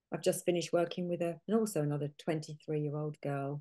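A woman's dark, mellow voice with a British accent, over a quiet background. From UK. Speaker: nutritional therapist; guest. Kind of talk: interview. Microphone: video call.

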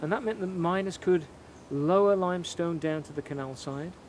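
A man talks at a moderate pace with ordinary pitch variation. The sound is dry with no echo, though noticeable background noise is present. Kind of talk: guided explanation to camera. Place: open country.

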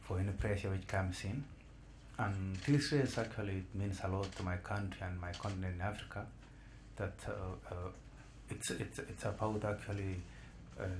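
Over noticeable background noise, a man talks at a moderate pace and a fairly low pitch, with long, frequent pauses. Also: fairly even intonation. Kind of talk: interview answer. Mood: calm, thoughtful. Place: meeting room. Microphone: podium.

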